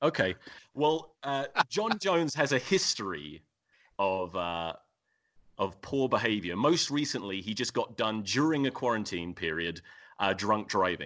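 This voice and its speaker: Fairly slow delivery with very wide pitch swings. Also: man, fairly low pitch for a man. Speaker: rugby podcaster. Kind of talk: casual chat.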